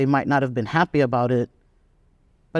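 A man speaks with an American accent and ordinary pitch variation. The recording is very clean and silent behind him, dry and close with no echo. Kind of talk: interview.

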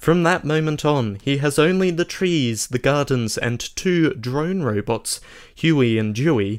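With an Australian accent, a man talks at a fairly slow pace and with lively intonation. The recording is very clean, with a silent background. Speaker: podcast co-host. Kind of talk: casual chat. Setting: home studio.

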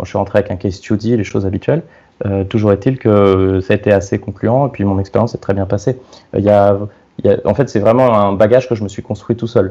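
A man talks at a very fast pace in a fairly low pitch. His tone is dark and mellow, and his intonation stays fairly even. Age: 30s. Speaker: product designer. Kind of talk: casual chat. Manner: halting.

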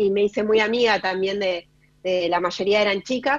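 At a moderate pace and medium pitch, a woman talks in a plain, everyday voice. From Chubut, Argentina. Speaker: educational technology specialist. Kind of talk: radio interview.

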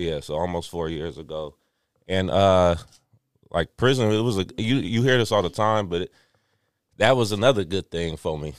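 A man with an American accent, very deep low pitch, ordinary pitch variation, and long, frequent pauses. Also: moderate pace. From Richmond, California. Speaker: guest, former prisoner turned runner. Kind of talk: personal story in casual chat. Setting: studio.

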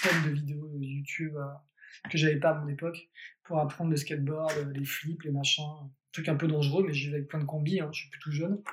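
Somewhat breathy, a man talks at a fairly quick pace with a fairly high pitch and monotone, flat intonation. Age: 30s. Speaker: magician. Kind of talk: casual chat. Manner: halting.

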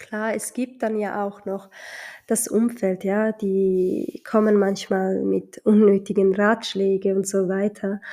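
Speaking very slowly with a Somali accent, a woman uses a medium pitch, a dark, mellow tone and a monotone, flat intonation. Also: very clean recording, silent background. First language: Somali (speaking German). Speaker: podcaster mother. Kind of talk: casual monologue. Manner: hesitant, many fillers.

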